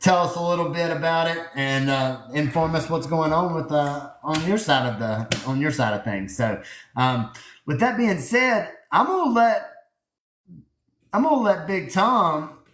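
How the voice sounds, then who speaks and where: With a Southern US accent, a man talks at a fairly slow pace in a fairly high pitch with very wide pitch swings and audible room echo. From US South. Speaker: livestream host. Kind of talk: casual chat.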